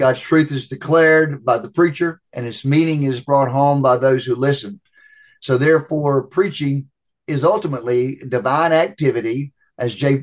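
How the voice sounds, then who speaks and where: A man with a plain, everyday voice, fairly high in pitch, with ordinary pitch variation at a moderate pace. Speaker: preaching professor. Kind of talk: interview answers on preaching.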